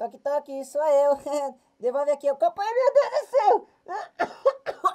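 Here a man does a put-on character voice at an extremely high pitch. He goes at a moderate pace. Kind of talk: comedic animal dub. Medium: dub.

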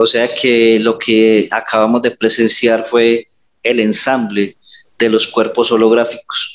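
Speaking very slowly, a man keeps a monotone, flat intonation and very even loudness. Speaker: hypnotherapist. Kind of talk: hypnosis session. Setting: video call. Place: home room. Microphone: headset.

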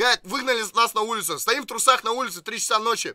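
A man speaks at a fairly quick pace in a raised, projected voice. The background is quiet. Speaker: streamer. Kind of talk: casual storytelling on a live stream.

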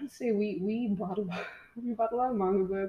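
Intonation stays fairly even as a woman talks at a medium pitch. There is a somewhat breathy quality to her voice. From Mexico. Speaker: comic artist. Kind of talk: casual interview chat.

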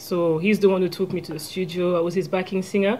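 A woman with a French accent talks fast in a fairly low voice, with a dark, mellow tone and fairly even intonation.

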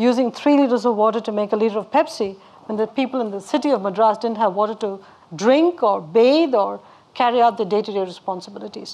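A woman talks at a very fast pace in a dark, mellow tone. Her pitch varies in an ordinary way. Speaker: guest. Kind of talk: interview answer. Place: hall. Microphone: lapel.

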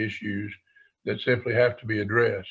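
A man's voice comes across as somewhat breathy. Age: 70s. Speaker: task force member presenting to school board. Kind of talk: formal presentation. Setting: school board meeting. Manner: halting, many fillers.

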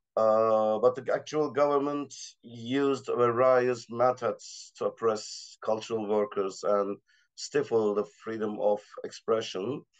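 Over a quiet background, a man with a Turkish accent talks at a fairly slow pace with fairly even intonation. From Turkey. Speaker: assistant professor, art critic; panelist. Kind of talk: panel discussion. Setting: video call. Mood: serious, measured. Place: home room. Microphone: video call.

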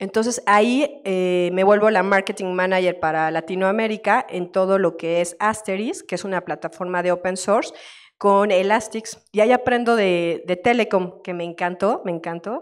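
Delivery comes at a moderate pace with hardly any pauses and ordinary pitch variation. The background is quiet. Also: woman. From Querétaro, Mexico; Mexico. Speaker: tech marketing manager; panelist. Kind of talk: panel discussion at a conference. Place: hall.

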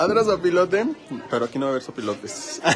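A man with a high voice swings very widely in pitch while noticeable background noise runs underneath. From Michoacán, Mexico. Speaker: live-stream vlogger. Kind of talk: live stream walking tour chat. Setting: outdoors. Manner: animated. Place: market. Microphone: phone near.

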